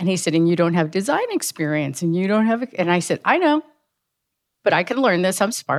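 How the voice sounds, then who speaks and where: In an American accent, a woman with an unremarkable speaking voice talks at a fairly quick pace and medium pitch, her intonation lively and her loudness very even, in a dry, close sound with no echo. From US, Cuban American family, emigrated from Cuba at two. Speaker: technology executive. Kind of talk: interview.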